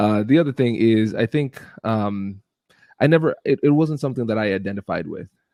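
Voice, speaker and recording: The speaker has an American accent and ordinary pitch variation. The pace is fairly quick. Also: man. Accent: US business accent, Caribbean when relaxed. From Ohio, US Midwest, Caribbean family. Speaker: negotiation expert and lawyer. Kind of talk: podcast interview.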